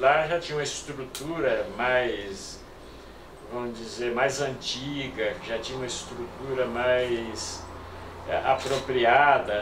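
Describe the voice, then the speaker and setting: Very slow speech from a man, with noticeable background noise and audible echo from the room. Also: medium pitch for a man. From Brazil, Mato Grosso do Sul. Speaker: retired doctor and former city councillor. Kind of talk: oral history interview. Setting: filmed interview. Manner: halting.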